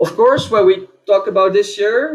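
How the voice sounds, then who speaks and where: A man with a Dutch accent speaks at a moderate pace with ordinary pitch variation. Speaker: conference speaker. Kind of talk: conference talk. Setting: online event.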